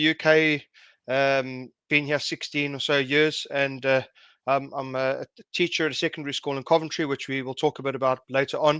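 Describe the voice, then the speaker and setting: The speaker has a South African accent and a monotone, flat intonation at a fairly quick pace. The sound is dry and close with no echo, over a quiet background. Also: man. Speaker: secondary school teacher and car enthusiast. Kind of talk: interview. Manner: halting.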